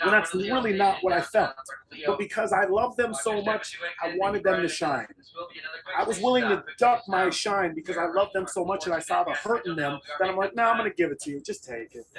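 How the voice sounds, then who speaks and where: Over noticeable background noise, a man speaks with a high pitch and lively intonation. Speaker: MMA fighter. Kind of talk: interview conversation. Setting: on a train.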